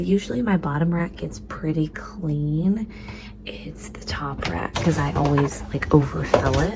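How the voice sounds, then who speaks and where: A woman speaks quietly and very slowly over noticeable background noise, her loudness swinging widely. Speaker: frugal living vlogger. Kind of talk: casual vlog tutorial.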